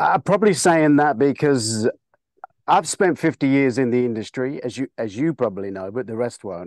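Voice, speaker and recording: Against a quiet background, a man with a normal speaking voice talks at a moderate pace, his medium pitch carrying lively intonation in a dry, close sound with no echo. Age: 60s. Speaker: film industry veteran and director. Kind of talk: interview.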